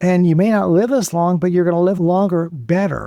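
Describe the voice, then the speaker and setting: A man's high-pitched voice with a dark, mellow tone, a moderate pace and ordinary pitch variation. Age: 70s. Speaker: cancer survivor and author. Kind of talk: interview.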